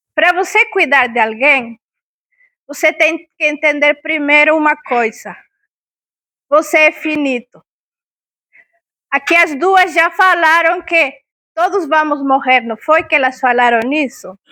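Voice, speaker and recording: Long, frequent pauses break up a woman's very slow speech in a Spanish accent. Her pitch is high, with ordinary pitch variation. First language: Spanish (speaking Portuguese). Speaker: talk speaker on palliative care. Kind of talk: public talk. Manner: interactive, questions to audience.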